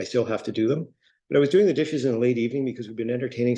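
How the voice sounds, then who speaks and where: The tone is dark and mellow. Pitch variation is ordinary. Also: man. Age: 60s. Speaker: heart attack survivor, patient speaker. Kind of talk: personal testimony.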